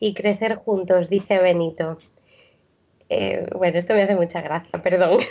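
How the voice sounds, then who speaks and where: This is a woman speaking. Her pace is moderate. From Santander, Cantabria, northern Spain. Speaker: former missionary. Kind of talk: casual chat.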